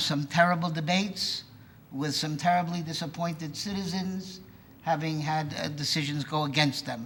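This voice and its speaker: A man's high-pitched voice at a moderate pace, fairly even in intonation, with audible room echo. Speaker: resident speaking at public comment. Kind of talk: public comment at village board meeting. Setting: village board meeting.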